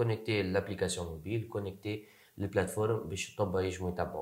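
The voice is a man's, somewhat breathy. Its pitch is fairly low. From Tunisia. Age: 20s. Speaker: startup co-founder. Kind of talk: interview.

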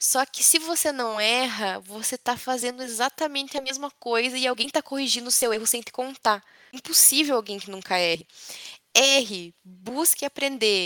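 Recorded dry and close with no echo, a woman speaks in a high pitch with a bright, sharp, animated tone and ordinary pitch variation. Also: moderate pace. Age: 20s. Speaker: engineering intern, former student-club director. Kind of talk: interview.

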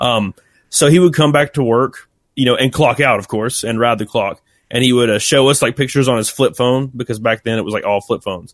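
On a very clean recording with a silent background, a man with a Southern US accent and medium pitch speaks very fast with ordinary pitch variation. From US South, Alabama. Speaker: YouTuber and former retail employee. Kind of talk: casual interview.

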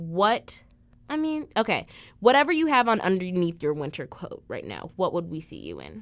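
A woman speaks with a Midwestern American accent in an animated tone. The recording is very clean, with a silent background. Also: moderate pace, big swings in loudness. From Illinois. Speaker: college podcast host. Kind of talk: casual chat. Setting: basement room.

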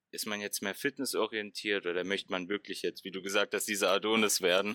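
A man talks at a fairly quick pace in a fairly low pitch, with a bright, sharp tone. His intonation is fairly even, and the sound is dry and close with no echo. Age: 20s. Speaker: fitness science student. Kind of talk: casual chat. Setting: video call.

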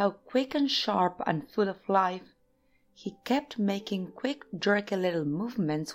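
The speaker reads in an unforced voice with lively intonation.

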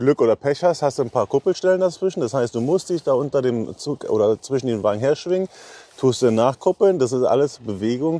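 Dry and close with no echo, an unremarkable speaking voice belongs to a man who talks fairly quickly at a medium pitch with lively intonation. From eastern Germany, Brandenburg. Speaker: railway wagon inspector supervisor. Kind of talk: casual interview during a site tour.

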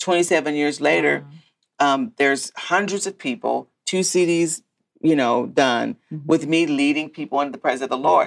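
With vocal fry and a very deep, low pitch, a woman talks at a moderate pace with ordinary pitch variation. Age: 50s. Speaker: podcast host, pastor and author. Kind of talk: casual faith conversation.

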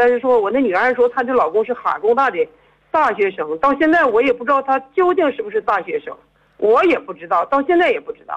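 A woman speaks at a high pitch and a fairly quick pace. Her pitch swings very widely and her loudness swings a lot. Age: 50s. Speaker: caller. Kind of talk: phone-in confession. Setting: phone call.

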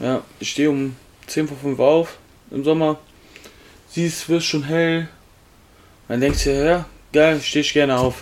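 Monotone and flat, a man speaks at a fairly slow pace in a fairly high pitch. He leaves long, frequent pauses. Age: 20s. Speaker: podcast co-host. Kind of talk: casual chat. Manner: loud.

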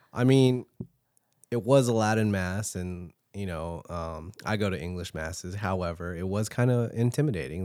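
Here a man with an American accent speaks in a plain, everyday voice at a fairly low pitch and moderate pace. The recording is very clean, with a silent background. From Filipino family, US. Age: 20s. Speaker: podcast co-host. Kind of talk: casual chat.

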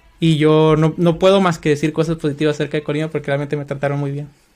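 With music playing behind him, a man speaks in a flat monotone at a fairly high pitch. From Mexico, Culiacán, Sinaloa. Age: 30s. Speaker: software developer. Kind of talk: interview.

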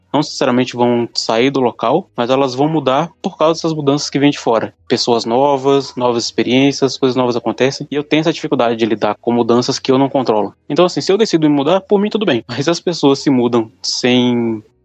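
In a plain, everyday voice, the speaker goes at a fairly quick pace with hardly any pauses, very even loudness and ordinary pitch variation, in a dry, close sound with no echo. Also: man, medium pitch for a man. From small Brazilian town. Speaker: podcast co-host. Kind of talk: casual chat.

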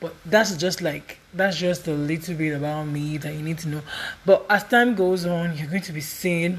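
A woman with a fairly low pitch speaks at a moderate pace and fairly even intonation. Her loudness swings widely, and noticeable background noise is present. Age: 20s. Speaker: podcaster. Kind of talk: casual monologue.

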